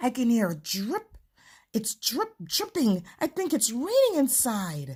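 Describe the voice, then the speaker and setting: Using a put-on character voice, a woman talks fairly slowly at a high pitch. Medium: read story. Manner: timid, pleading.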